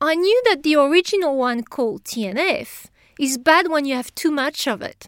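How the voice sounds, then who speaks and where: A woman's high-pitched voice swings very widely in pitch, recorded with a dry, close sound and no echo. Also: very clean recording, silent background. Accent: French. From France. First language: French. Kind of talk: interview. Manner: halting.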